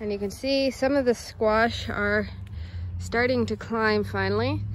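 The speech comes at a very slow pace. The sound is dry with no echo, over light background noise. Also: woman. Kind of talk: casual vlog chat. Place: garden. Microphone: phone near.

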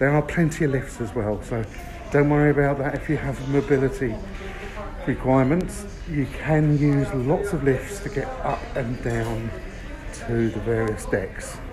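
A man speaks at a moderate speed as clear music plays behind him. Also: ordinary pitch variation. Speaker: travel reviewer. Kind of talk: casual walkthrough commentary. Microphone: phone near.

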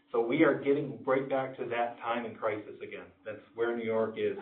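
Audible room echo surrounds a man speaking at a medium pitch. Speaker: school district administrator presenting budget. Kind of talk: public board meeting presentation. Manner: fast.

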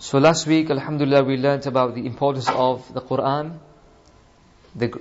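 Moderate pace and fairly even intonation from a man. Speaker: religious teacher. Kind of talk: religious lesson. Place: church.

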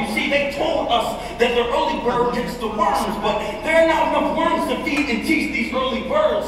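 Over noticeable background noise and strong room echo, a man talks at a moderate pace with ordinary pitch variation. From Philadelphia. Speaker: slam poet. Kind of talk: slam poetry performance. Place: hall.

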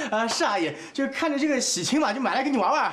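Putting on a character voice, a man speaks at a moderate pace in an extremely high pitch, with a fairly bright tone and big pitch swings.

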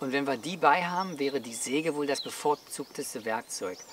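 A man at a moderate pace, a dry sound with no echo, and noticeable background noise. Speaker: outdoor gear reviewer. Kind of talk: explanatory talk to camera. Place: open country.

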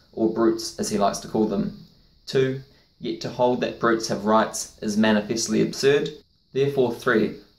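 A man's voice at a moderate pace with ordinary pitch variation, in a room with audible echo. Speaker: educational video host. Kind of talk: lecture.

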